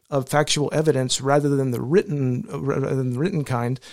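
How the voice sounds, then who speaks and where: An unremarkable speaking voice from a man with an American accent, fairly high in pitch, ordinary in pitch variation, at a fairly quick pace. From New Mexico, US. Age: 40s. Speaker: pastor. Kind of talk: casual chat. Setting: studio.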